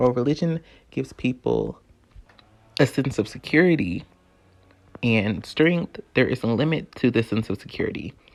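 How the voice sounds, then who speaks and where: At a moderate pace, a man of medium pitch speaks with lively intonation and vocal fry. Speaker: video essayist and podcast host. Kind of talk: spoken word essay.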